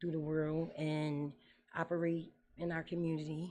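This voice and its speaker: In a dark, mellow tone, a woman speaks at a fairly low pitch and a moderate pace. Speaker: guest, mother and former prison worker. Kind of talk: casual chat. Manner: loud.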